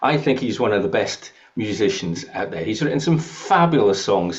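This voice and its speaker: With noticeable background noise around him, a man speaks in very wide pitch swings. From southern and eastern England, partly Scotland. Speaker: podcast host. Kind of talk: casual chat.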